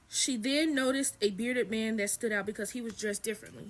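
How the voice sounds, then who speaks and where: Her voice is fairly high in pitch, and this woman keeps a fairly even intonation. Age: 20s. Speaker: spiritual content creator. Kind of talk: reading aloud with commentary. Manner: fast; casual.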